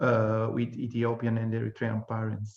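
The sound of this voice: Heard with audible room echo, a man speaks at a moderate pace in a fairly low, slightly mellow voice with monotone, flat intonation.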